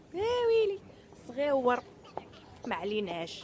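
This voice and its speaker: With lively intonation, a woman talks in a Moroccan accent over noticeable background noise. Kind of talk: casual vlog talk to camera.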